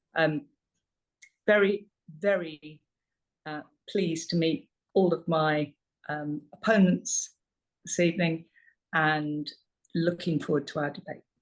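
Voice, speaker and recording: Leaving long, frequent pauses, a woman with a London accent speaks in fairly even intonation. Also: fairly low pitch for a woman, fairly slow pace. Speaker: parliamentary candidate. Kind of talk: election hustings speech. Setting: online meeting. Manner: hesitant with many fillers.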